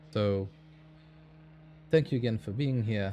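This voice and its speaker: Lively in intonation, a man speaks in a fairly low, somewhat breathy voice with a dark, mellow tone. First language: Hungarian. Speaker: sim racing commentator. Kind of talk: live commentary. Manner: halting.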